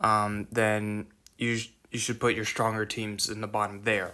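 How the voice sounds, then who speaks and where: The speech is fairly slow and monotone, with flat intonation, long, frequent pauses and noticeable background noise. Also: man. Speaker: mobile game guide creator. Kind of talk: casual game tutorial voiceover. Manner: hesitant, many filler words and stutters.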